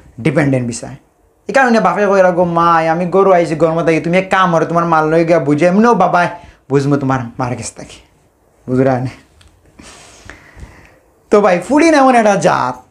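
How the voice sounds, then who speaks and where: Pitched high for a man, this speaker uses ordinary pitch variation with a Sylheti accent. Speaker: stand-up comedian. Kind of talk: stand-up comedy monologue.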